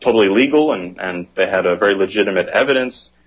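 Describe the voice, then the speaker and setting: A man with an American accent, fairly low-pitched, with ordinary pitch variation. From United States. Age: 20s. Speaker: photojournalist. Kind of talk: interview. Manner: halting.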